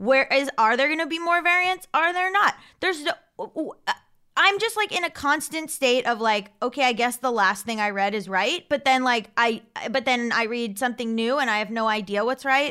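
Raised and projected, a woman's high-pitched voice has a bright, sharp tone, very wide pitch swings and a moderate pace. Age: 30s. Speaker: comedian and writer. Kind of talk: casual chat.

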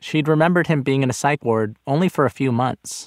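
An ordinary speaking voice with an American accent moves at a fairly quick pace with ordinary pitch variation. The recording is very clean, with a silent background and a dry, close sound with no echo. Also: man. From Los Angeles, Inglewood. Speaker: podcast host and narrator. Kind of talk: scripted narration.

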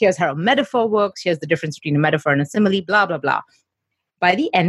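A woman at medium pitch sounds somewhat breathy, recorded dry and close with no echo. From India, Mumbai. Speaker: entrepreneur and media coach. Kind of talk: interview. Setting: office.

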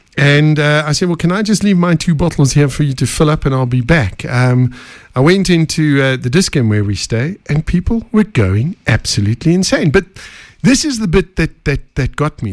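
A man with a South African accent, fairly high in pitch, with very wide pitch swings. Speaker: podcast host. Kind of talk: casual interview.

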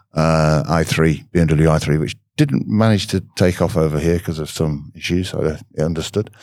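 A man speaks at a moderate pace with a very deep, low pitch. His pitch varies in an ordinary way, with hardly any pauses. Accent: British. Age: 60s. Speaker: automotive diagnostics trainer. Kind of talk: interview.

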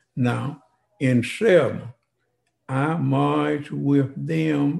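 The man's voice comes across as somewhat breathy. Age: 90s. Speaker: civil rights veteran. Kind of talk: interview, life story. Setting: in-person in host's home.

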